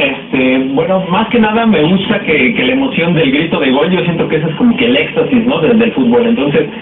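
Over noticeable background noise, a man talks fairly quickly in a high voice. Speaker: aspiring sports commentator. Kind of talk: interview answer. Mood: enthusiastic, slightly nervous. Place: studio.

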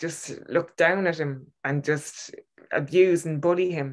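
A woman's fairly low pitch comes through with a quiet background. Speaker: podcast co-host reviewing a short film. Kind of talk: casual film review discussion. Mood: warm, moved. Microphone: video call.

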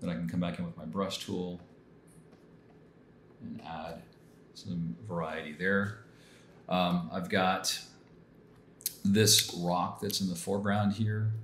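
A man speaks at a very slow pace with a very deep, low pitch, ordinary pitch variation, and long, frequent pauses. Light background noise and audible room echo are present. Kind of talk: tutorial.

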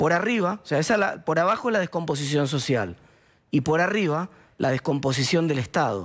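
Against a quiet background, a man with a Rioplatense accent talks at a moderate pace and a fairly high pitch, with lively intonation, very even loudness and vocal fry. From Argentina, La Plata; Argentina. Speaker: political commentator; TV guest. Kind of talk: interview. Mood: serious, concerned. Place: studio. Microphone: headset.

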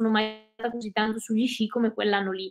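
A woman speaks at a fairly high pitch. Her intonation stays fairly even. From Veneto, Italy (Cadore, Dolomites). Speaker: ultra trail runner and ski mountaineer. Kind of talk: interview. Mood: relaxed, friendly. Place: home room.

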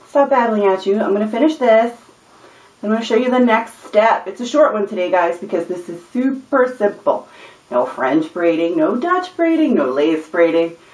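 Room echo is audible as a woman talks at a moderate pace. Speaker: hair tutorial vlogger. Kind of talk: tutorial. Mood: cheerful, chatty. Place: home room. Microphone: camera far.

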